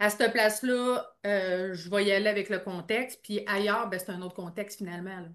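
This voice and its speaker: At a moderate pace, a woman speaks in a bright, sharp tone over a quiet background. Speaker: podcast host, NLP coach. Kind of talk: podcast interview host.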